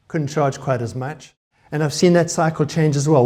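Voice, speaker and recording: A man with a South African accent, dark and mellow in tone, fairly quick in pace, and fairly even in intonation. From South Africa, Cape Town. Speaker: conference speaker, web developer. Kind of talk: conference talk. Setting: stage with audience.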